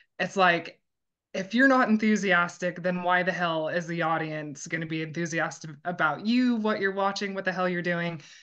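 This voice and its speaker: A woman with an American accent speaks loudly at a moderate pace. Her pitch is fairly low, with ordinary pitch variation. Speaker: strongwoman and grip sport athlete. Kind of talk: interview.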